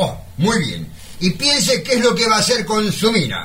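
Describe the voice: Using a put-on character voice, a man speaks at a moderate pace with a high pitch, a bright, sharp tone, and very wide pitch swings.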